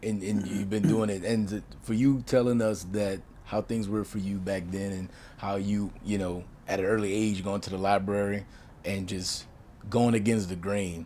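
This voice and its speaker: With a dark, mellow tone and fairly low pitch, a man speaks flat and monotone at a moderate pace amid audible room echo. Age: 30s. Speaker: podcast host. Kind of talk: interview.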